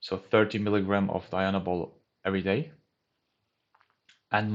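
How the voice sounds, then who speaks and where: A man with a German accent and a fairly low pitch. He talks at a moderate pace. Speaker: bodybuilding youtuber. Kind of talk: casual vlog talk.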